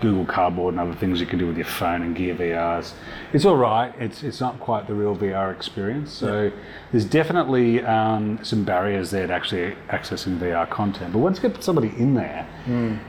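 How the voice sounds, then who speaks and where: A man with an Australian accent speaks at a fairly quick pace with a fairly low pitch. His pitch variation is ordinary, and background noise is noticeable. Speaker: VR company founder and filmmaker. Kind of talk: casual interview.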